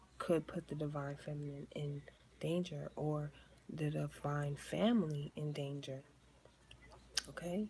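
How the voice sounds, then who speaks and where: In an American accent, a woman speaks at a moderate pace with a very deep, low pitch, a somewhat breathy, dark, mellow tone, and ordinary pitch variation. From New York. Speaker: tarot reader. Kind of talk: tarot reading to camera. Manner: animated.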